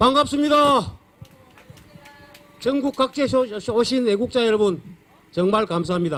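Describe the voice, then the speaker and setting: With a strong Gyeongsang accent, a man with extremely high pitch speaks at a fairly slow pace with lively intonation and long, frequent pauses over noticeable background noise. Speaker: rally speaker. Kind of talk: protest rally speech.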